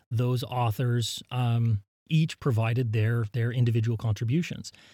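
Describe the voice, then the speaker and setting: A man's dark, mellow, somewhat breathy voice with an American accent, in a very clean recording with a silent background and a dry, close sound with no echo. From US, southern Utah. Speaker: geologist, professor. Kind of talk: casual interview. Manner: frequent fillers and repetitions.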